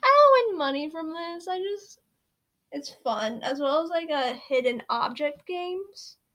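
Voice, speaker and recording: With an American accent, a woman speaks at a fairly slow pace, her extremely high voice making very wide pitch swings and big swings in loudness. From Virginia, US South. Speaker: true crime streamer. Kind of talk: casual chat. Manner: rambling, filler-heavy.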